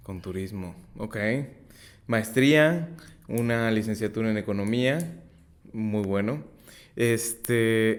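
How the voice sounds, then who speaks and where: The man talks at a fairly slow pace. His pitch is medium with ordinary variation. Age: 30s. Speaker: podcast host, insurance advisor. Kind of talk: interview.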